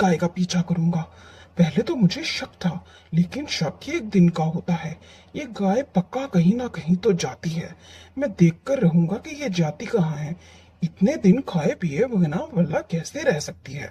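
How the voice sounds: This is a cartoonish character voice at a middle pitch. It moves at a moderate pace.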